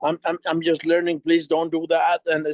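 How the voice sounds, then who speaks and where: A man speaks with a Mexican accent. His pitch is high, with ordinary variation. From Mexico. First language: Spanish. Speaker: network marketing entrepreneur. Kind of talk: video call presentation. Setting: video call. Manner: halting, many repetitions.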